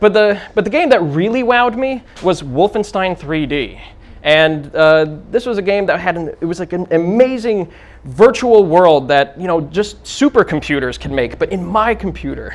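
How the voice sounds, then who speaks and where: In a New Jersey accent, a man speaks at a high pitch and a moderate pace with lively intonation. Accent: New Jersey American English. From US, New Jersey. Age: 30s. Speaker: game modder and conference speaker. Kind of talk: conference talk. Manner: many fillers like uh and um.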